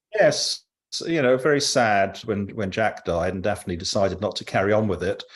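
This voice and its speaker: In a southern English accent, a man talks at a moderate pace. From London. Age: 70s. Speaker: cycling group leader. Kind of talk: interview. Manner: halting.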